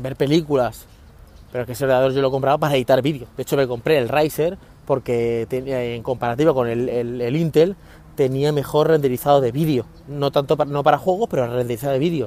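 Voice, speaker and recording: A man talks at a fairly quick pace in a dark, mellow tone. His pitch is medium and his intonation fairly even. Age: 40s. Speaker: tech podcaster. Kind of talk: casual monologue. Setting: outdoors. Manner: fast.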